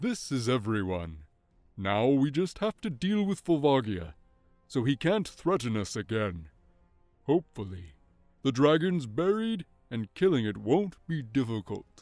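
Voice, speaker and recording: Faint music plays behind a man doing a put-on character voice with very wide pitch swings. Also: medium pitch for a man, moderate pace. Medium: read story. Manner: earnest, stubborn.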